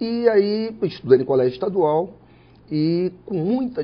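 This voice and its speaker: This man's voice is somewhat breathy. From Espírito Santo, Brazil (Alegre, then Vitória area). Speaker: judge. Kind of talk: interview.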